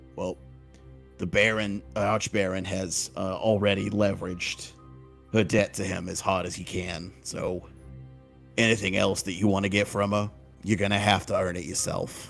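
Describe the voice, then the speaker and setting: Over clear music in the background, a man puts on a raspy character voice with a fairly low pitch, delivered at a moderate pace. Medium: actual play. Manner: casual, cocky, blunt.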